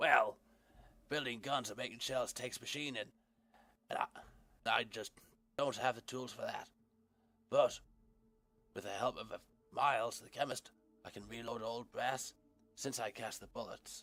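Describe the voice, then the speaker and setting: Using a raspy, put-on character voice, a man talks at medium pitch and a moderate pace, with long, frequent pauses. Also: big swings in loudness. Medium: game stream. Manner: friendly, folksy.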